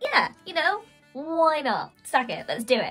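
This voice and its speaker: In a put-on character voice pitched extremely high, a woman speaks at a fairly slow pace with faint music in the background. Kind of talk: comic storytelling voice. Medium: read story. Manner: chirpy, nonchalant, teasing.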